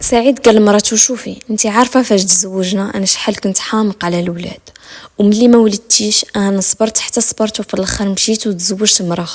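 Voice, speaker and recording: With a Moroccan accent, a woman speaks at a moderate pace. Her pitch is medium, and her intonation is fairly even. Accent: Moroccan Darija. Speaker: storyteller. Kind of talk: true crime story narration. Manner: suspenseful.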